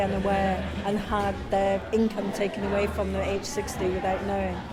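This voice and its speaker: A woman talks fairly quickly, with audible room echo and noticeable noise in the background. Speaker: pension campaigner. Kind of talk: interview.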